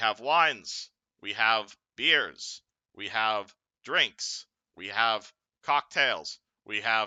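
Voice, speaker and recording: A man's put-on robotic character voice at medium pitch, very slow, with long, frequent pauses. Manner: robotic, monotone listing.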